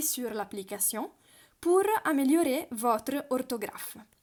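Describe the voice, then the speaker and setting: A woman talks at a high pitch. Her intonation is lively. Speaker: language teacher. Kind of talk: tutorial. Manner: halting, many hesitations.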